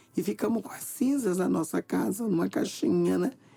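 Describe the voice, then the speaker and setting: A woman talks at a medium pitch. Behind her, music can be heard. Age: 60s. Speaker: community leader. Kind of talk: documentary testimony.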